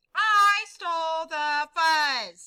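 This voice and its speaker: Putting on a character voice, a woman goes squeaky and extremely high in pitch. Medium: read story. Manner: barking, loud.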